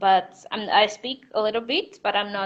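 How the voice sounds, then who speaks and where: A woman speaks in a fairly high pitch. Her intonation stays monotone and flat. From Mozambique. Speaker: novelist. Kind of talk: interview. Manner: halting.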